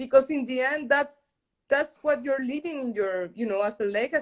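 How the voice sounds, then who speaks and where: A woman's high-pitched voice with lively intonation and a Spanish accent. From Colombia. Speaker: journalist and entrepreneur. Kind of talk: interview. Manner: halting.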